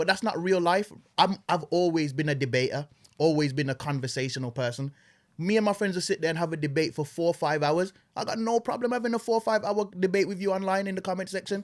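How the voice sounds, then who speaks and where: Speaking at a very fast pace with lively intonation, a man with a high pitch is heard in a very clean recording with a silent background. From Jamaica, Saint Elizabeth, then UK from age 11. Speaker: social media personality. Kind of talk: casual podcast chat.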